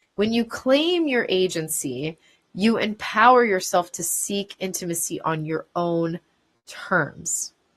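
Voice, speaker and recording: A woman's very slow speech with lively intonation. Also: medium pitch for a woman. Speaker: talk show host. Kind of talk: educational talk. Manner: scripted, explanatory delivery.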